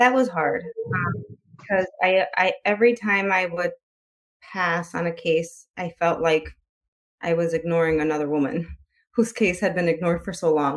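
Moderate pace with ordinary pitch variation and long, frequent pauses. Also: woman, fairly low pitch for a woman. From US Midwest, Chicago. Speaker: author and poet. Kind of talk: interview.

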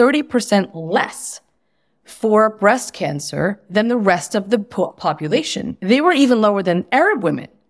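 A woman with an American accent uses a normal speaking voice at a medium pitch, moving at a moderate pace with lively intonation. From United States. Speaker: writer and activist. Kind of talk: interview conversation.

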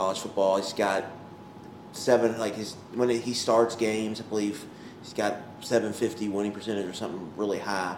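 Using a plain, everyday voice, a man speaks at a fairly quick pace with fairly low pitch and fairly even intonation. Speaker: sports podcast co-host. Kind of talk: casual chat. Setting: outdoors.

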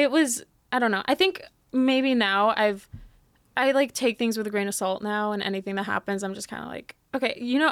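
In an unremarkable speaking voice, a woman with a fairly high pitch talks at a fairly quick pace with ordinary pitch variation, the sound dry and close with no echo. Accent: American. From Texas, San Antonio. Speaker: content creator. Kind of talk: casual chat.

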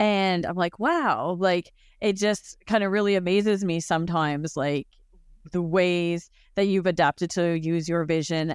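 A woman with a Canadian accent speaks at a fairly slow pace in an ordinary speaking voice, fairly low in pitch with ordinary pitch variation. The recording is very clean with a silent background. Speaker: colleague who is visually impaired and travels. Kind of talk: casual chat.

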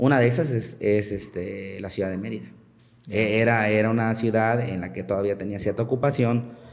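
A man talks with a fairly low pitch. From Mexico, Chiapas. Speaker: archaeologist. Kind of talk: interview conversation. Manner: halting, many fillers.

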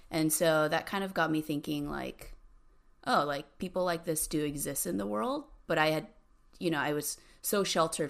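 A woman with an American accent speaks at a very deep, low pitch with vocal fry and ordinary pitch variation. The recording is very clean, with a silent background. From Southern California (Cerritos, near Long Beach). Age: 30s. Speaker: tech industry business lead. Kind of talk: casual interview chat.

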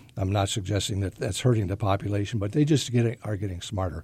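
Very fast, somewhat breathy speech from a man with an American accent and a dark, mellow tone. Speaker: fishing guide. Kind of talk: casual fishing report. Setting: studio.

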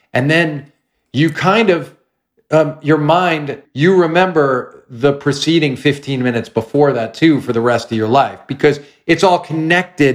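This is a man with an unremarkable speaking voice. His pitch is fairly high, with ordinary pitch variation. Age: 50s. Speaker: film and TV screenwriter. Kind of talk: casual interview chat.

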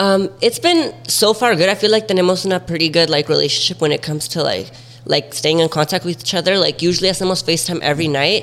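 Speaking at a very fast pace with hardly any pauses, a man uses a high pitch with ordinary variation. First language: Spanish. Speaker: TikTok creator. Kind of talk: casual chat.

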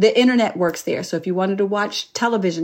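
A woman with a normal speaking voice at medium pitch, fairly quick in pace and fairly even in intonation, in a very clean recording with a silent background. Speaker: flight attendant. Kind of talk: interview.

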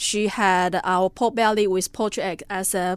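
A woman with a Taiwanese accent speaks at a medium pitch and a fairly slow pace with fairly even intonation. The recording is very clean, with a silent background. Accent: Taiwanese Mandarin-accented English. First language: Mandarin Chinese. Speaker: cafe owner. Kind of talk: casual interview. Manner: halting, with many fillers.

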